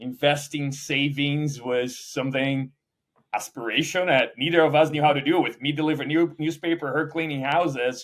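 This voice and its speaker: A man with a Portuguese accent speaks at a fairly high pitch. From Brazil. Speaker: startup founder and CEO. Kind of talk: interview. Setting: conference.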